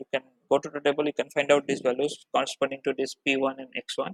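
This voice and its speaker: Speaking very fast at a fairly high pitch, a man comes across in a dry, close sound with no echo. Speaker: teaching assistant. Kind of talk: tutorial.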